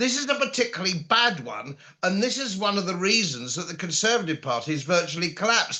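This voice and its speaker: Projecting loudly in a high, bright, sharp voice, a man talks fairly quickly with very wide pitch swings. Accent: British. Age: 70s. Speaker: political commentator. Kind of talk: political interview.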